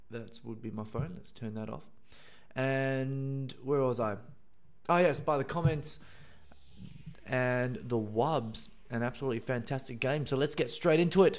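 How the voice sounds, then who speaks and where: A man with an Australian accent talks at a moderate pace and medium pitch, with ordinary pitch variation. He leaves long, frequent pauses, and his loudness swings a lot. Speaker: video game commentator. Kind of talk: live commentary.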